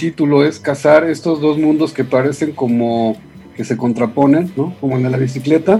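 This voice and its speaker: A man with a fairly high-pitched voice. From Mexico City area (Ciudad Satélite). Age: 50s. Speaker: journalist and writer. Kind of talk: radio interview. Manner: halting.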